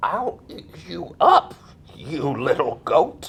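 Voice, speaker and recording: A put-on character voice at a very slow pace. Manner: trying to sound fierce despite small voice.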